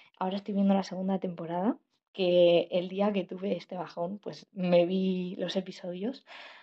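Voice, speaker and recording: A woman's plain, everyday voice at medium pitch, with fairly even intonation and a moderate pace. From Spain, La Rioja. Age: 18. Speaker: journalism student podcaster. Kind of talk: personal monologue podcast.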